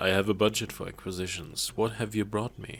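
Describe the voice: A man's put-on character voice, fairly low, breathy and fairly quick, in a flat monotone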